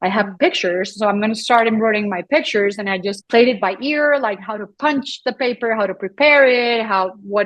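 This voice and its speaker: Speaking in a Colombian accent, a woman uses a fairly high pitch with ordinary pitch variation. She has hardly any pauses. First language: Spanish. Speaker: photographer and embroiderer. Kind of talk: podcast interview. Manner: halting, with frequent repetitions.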